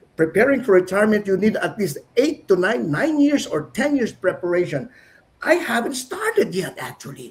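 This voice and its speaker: This man's voice sits high and swings very widely in pitch, moving at a moderate pace. Noticeable background noise runs under it. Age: 60s. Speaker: business partner. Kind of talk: casual chat.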